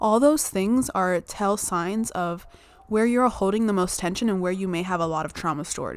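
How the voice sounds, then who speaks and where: Here a woman speaks at medium pitch with an animated tone. Her pace is moderate and her pitch variation ordinary. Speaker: podcast host. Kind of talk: solo podcast monologue, casual chat. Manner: animated, laughs often, wandering.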